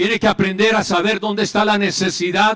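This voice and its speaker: The man speaking has a high pitch. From Colombia, Medellín. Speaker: pastor and psychologist. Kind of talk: conference speech.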